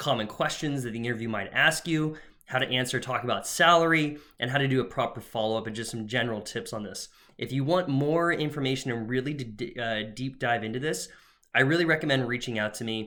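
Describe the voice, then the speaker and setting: Bright and sharp in tone, a man with a medium pitch talks at a very fast pace. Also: ordinary pitch variation. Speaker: career coach. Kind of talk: tutorial. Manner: casual with fillers.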